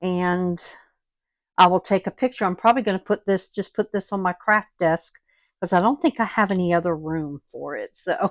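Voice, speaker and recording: A woman with a Southern US accent, medium-pitched, ordinary pitch variation, moderate pace, dry close sound with no echo, quiet background. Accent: southern US twang. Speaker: craft video host. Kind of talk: tutorial. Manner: casual, chatty with fillers.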